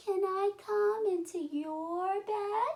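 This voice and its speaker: A woman uses a put-on character voice, squeaky and extremely high in pitch. Her pitch variation is ordinary. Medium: read story.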